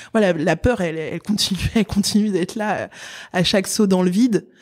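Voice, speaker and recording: In a very clean recording with a silent background, a woman's pitch varies in an ordinary way. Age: 30s. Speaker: engineer and tech entrepreneur. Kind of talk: interview. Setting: in person at her company's office. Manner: halting, many fillers and repetitions.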